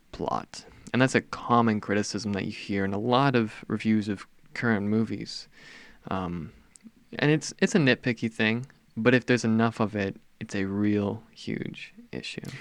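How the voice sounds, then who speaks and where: A man speaks at a fairly low pitch with fairly even intonation. The pace is moderate and the background quiet. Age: young. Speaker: podcast co-host. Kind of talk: casual chat.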